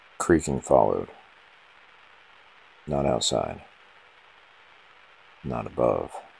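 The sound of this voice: A man speaks at an extremely low pitch with vocal fry and a husky, rough edge, though the tone is slightly mellow. His intonation is lively and his pace very slow.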